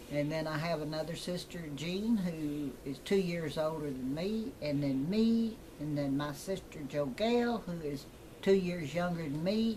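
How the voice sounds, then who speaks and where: Amid noticeable background noise and audible room echo, a woman with a West Texas accent speaks at a fairly slow pace, her very deep, low pitch carrying lively intonation. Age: 80s+. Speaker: retired teacher. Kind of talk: casual chat.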